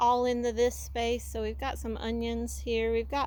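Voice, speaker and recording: A woman speaks with audible echo from the room. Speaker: homesteader vlogger. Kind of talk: casual vlog walkthrough.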